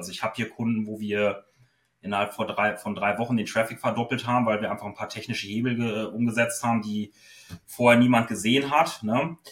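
Speaking at a fairly quick pace, a man with a fairly low voice keeps a monotone, flat intonation. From northwestern Germany, Osnabrück. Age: 30s. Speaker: SEO consultant. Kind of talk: interview. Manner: hesitant, many filler sounds.

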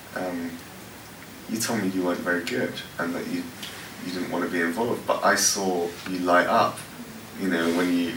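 A man in a London accent talks at a fairly quick pace with a very deep, low pitch and fairly even intonation. Long, frequent pauses break up his speech, with noticeable background noise behind him. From West London, England. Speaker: worship pastor. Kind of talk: workshop talk with Q&A. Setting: stage with audience. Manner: casual, halting with many fillers.

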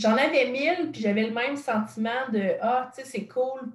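With a Quebec accent, a woman talks at a fairly slow pace, her high pitch moving with ordinary pitch variation. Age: 20s. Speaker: content creator and podcaster. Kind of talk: casual interview chat.

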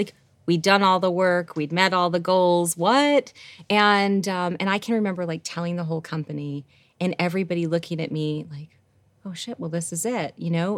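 With an American accent, a normal speaking voice holds a moderate pace. Pitch varies in an ordinary way. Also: woman, fairly low pitch for a woman. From US Northeast, Rochester, New York. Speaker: business executive. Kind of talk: casual interview chat.

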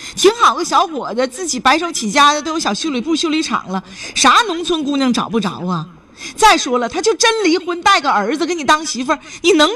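Over noticeable background noise, a woman's high, raised, projected voice moves at a fairly quick pace, animated in tone with very wide pitch swings. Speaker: radio call-in advice host. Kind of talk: call-in radio advice.

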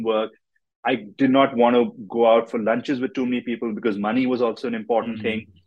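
Talking at a very fast pace, the man keeps a medium pitch and ordinary pitch variation. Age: 40s. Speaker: entrepreneur and podcaster.

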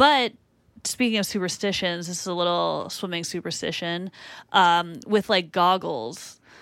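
A woman with a slight Boston accent has a fairly low pitch and lively intonation. She talks at a fairly slow pace. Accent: Boston accent, slight, people say Canadian. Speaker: TV comedy writer. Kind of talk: casual chat.

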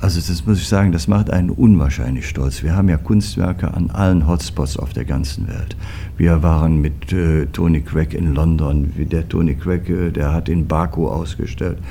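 A man with a very deep, low pitch speaks at a moderate pace with ordinary pitch variation. Audible room echo and noticeable background noise surround him. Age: 60s. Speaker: foundry managing director. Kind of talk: interview.

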